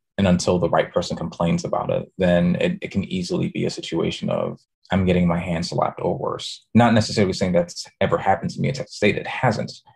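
A man with an American accent talks at a very fast pace with hardly any pauses. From New York City, the Bronx. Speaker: design professor. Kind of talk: interview conversation. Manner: repeats words, restarts sentences.

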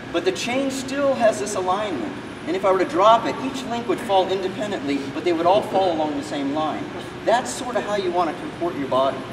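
A high-pitched man at a fairly quick pace with noticeable background noise. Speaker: martial arts instructor. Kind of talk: teaching explanation during a seminar. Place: hall. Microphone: camera far.

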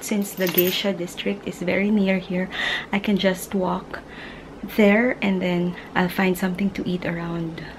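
A woman speaks in a monotone, flat way at a fairly slow pace. Noticeable background noise is present. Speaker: travel vlogger. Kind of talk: casual vlog chat. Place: home room. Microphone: phone near.

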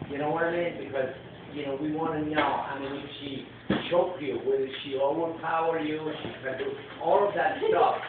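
Noticeable background noise and strong room echo. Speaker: comedy coach giving feedback. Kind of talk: coaching feedback to a young comedian, workshop critique. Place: stage. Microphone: pa.

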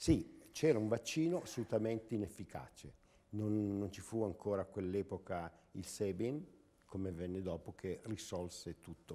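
This man has a dark, mellow tone and a fairly low pitch, with ordinary pitch variation. His loudness swings widely while his pace stays moderate. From northern Italy, Lecco area; northern Italy. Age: 70s. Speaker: former mayor and local politician; former mayor, local politician. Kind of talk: TV interview. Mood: earnest, reflective. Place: studio. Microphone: lapel.

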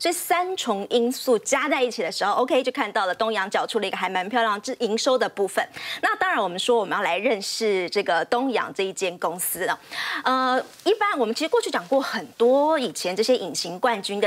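In a Taiwanese accent, the speaker moves at a fairly quick pace with very wide pitch swings. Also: woman. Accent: Taiwanese Mandarin. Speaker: TV finance reporter. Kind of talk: TV finance panel storytelling. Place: studio.

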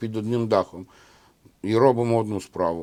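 With ordinary pitch variation, a man speaks at medium pitch in a dark, mellow tone. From Bolhrad, Odesa region, Ukraine (ethnic Bulgarian). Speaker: marine soldier, military driver. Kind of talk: interview.

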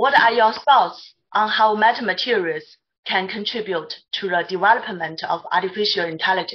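A woman speaks with a Mandarin accent. The background is quiet. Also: medium pitch for a woman, ordinary pitch variation, moderate pace. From China. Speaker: materials scientist, panelist; panelist. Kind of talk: Q&A questions. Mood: polite, formal. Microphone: video call.

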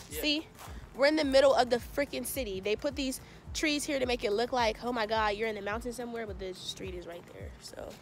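A woman talks at a fairly quick pace with big swings in loudness, in a dry sound with no echo and light background noise. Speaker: vlogger. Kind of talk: casual vlog chat. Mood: playful, chatty. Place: open country. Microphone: phone near.

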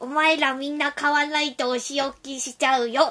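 A put-on character voice, high and monotone with flat intonation, at a moderate pace. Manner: teasing, menacing-playful.

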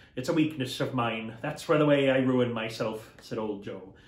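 A man talks at a moderate pace. His pitch varies in an ordinary way, and room echo is audible. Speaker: costumed storyteller. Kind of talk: dramatic reading of a classic novel with character voices. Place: home room.

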